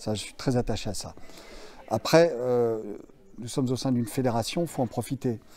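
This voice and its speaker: Music plays in the background. Over it, a man talks at a medium pitch. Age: 60s. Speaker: martial arts instructor. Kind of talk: interview. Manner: hesitant, many fillers.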